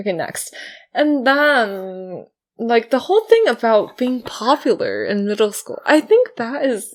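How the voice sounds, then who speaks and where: On a very clean recording with a silent background, a woman speaks at a fairly slow pace with a high pitch and lively intonation. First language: not English. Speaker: podcast co-host. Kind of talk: casual chat. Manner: halting.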